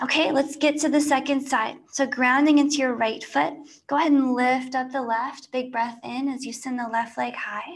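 A woman speaks at a high pitch with fairly even intonation. Her tone is warm and soothing. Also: moderate pace. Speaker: yoga instructor. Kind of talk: live-streamed guided yoga class, cueing poses and breath. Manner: warm, soothing, friendly with casual asides. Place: home room.

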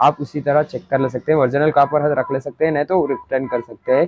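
A man talks at a very fast pace in a monotone, flat delivery. The sound is dry with no echo, over light background noise. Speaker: channel host. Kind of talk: product demonstration tutorial. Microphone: phone near.

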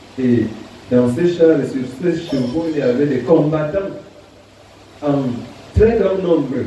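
A man's very slow speech at a fairly high pitch with ordinary pitch variation and long, frequent pauses, amid strong room echo and light background noise. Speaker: preacher. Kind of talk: sermon. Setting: church. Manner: formal, didactic; measured, earnest pulpit delivery.

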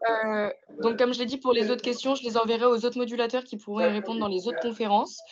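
A woman's fairly high, fairly even voice at a very fast pace amid noticeable background noise. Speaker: moderator. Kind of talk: event moderation. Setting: video call. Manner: halting. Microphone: video call.

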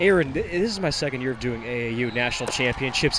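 Over noticeable background noise, a man with a fairly high pitch talks at a moderate pace using lively intonation. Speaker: play-by-play announcer. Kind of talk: live sports commentary. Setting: arena broadcast.

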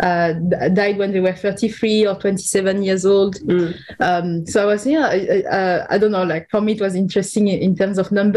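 With noticeable background noise in the clip, a woman talks at a moderate pace and keeps her intonation fairly even. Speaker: podcast co-host, artist curator. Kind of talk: casual chat.

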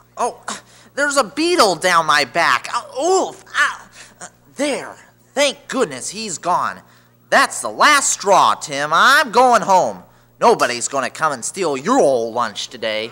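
Pausing long and often, a man talks at a fairly slow pace in a high, whiny, nervous voice that swings very widely in pitch. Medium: audio drama.

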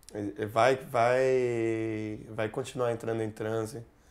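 A man's fairly low voice, fairly even in intonation, at a fairly slow pace. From Brazil. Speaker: musician; interviewee. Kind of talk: interview. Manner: halting.

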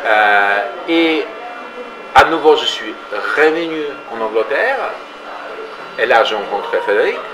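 Faint background noise sits behind a bright, sharp voice that moves at a fairly slow pace with big pitch swings. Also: man, medium pitch for a man.

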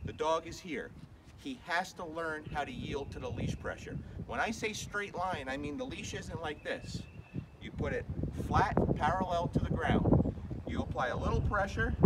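Long, frequent pauses break up the speech against loud background noise. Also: man, moderate pace. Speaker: dog trainer. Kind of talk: tutorial. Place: street. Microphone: camera far.

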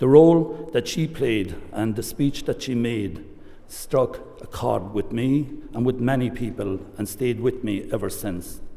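In an Irish accent, a man speaks at a fairly slow pace. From Ireland. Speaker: government minister. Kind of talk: formal speech. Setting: stage with audience. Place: hall. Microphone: podium.

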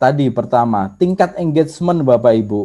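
A man with a Javanese accent in a dark, mellow tone at a fairly slow pace against a quiet background. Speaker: social media trainer; presenter. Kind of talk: online workshop lecture. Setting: video call. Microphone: video call.

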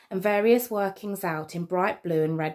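This is a natural reading voice, with ordinary pitch variation.

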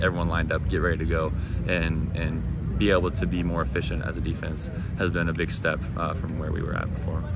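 A man talks at a fairly quick pace against loud background noise. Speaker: college football linebacker. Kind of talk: media day interview. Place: stadium.

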